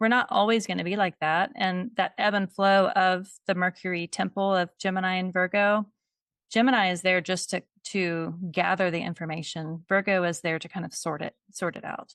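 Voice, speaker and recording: On a dry, close recording with no echo, a woman with an ordinary speaking voice talks at a medium pitch and a moderate pace, her intonation fairly even. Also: quiet background. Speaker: astrologer. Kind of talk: casual chat.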